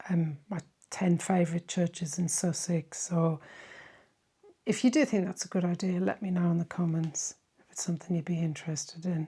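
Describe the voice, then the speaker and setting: A somewhat breathy woman at a fairly low pitch and moderate pace, with big swings in loudness and fairly even intonation. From Ireland. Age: 50s. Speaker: history and church travel YouTuber. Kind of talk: Q&A chat to viewers. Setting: home office. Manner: casual, hesitant with fillers.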